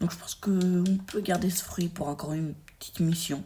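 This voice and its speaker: A woman's fairly low, somewhat breathy voice with a dark, mellow tone, ordinary pitch variation and a fairly slow pace. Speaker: gaming YouTuber. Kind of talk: gameplay commentary. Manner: animated; halting.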